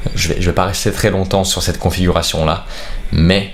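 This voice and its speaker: A soft-spoken man talks with fairly even intonation. Noticeable background noise and audible room echo fill the recording. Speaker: streaming tech youtuber. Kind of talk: tutorial. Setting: bedroom. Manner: speaking very softly.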